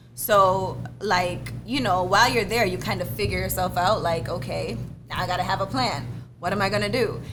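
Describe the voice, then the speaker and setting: With an American accent and a moderate pace, the voice carries audible room echo over music in the background. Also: woman. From Jamaica, Clarendon. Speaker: hair YouTuber and business owner. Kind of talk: casual podcast interview.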